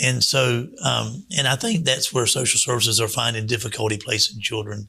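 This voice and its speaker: In an ordinary speaking voice, a man talks at a fairly quick pace with medium pitch and fairly even intonation. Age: 60s. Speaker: children's home director. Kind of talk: radio interview. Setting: radio studio.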